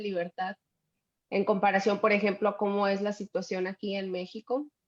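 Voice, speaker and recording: In a dry, close sound with no echo, a woman speaks fairly quickly at medium pitch with monotone, flat intonation. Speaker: event host. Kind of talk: interview conversation.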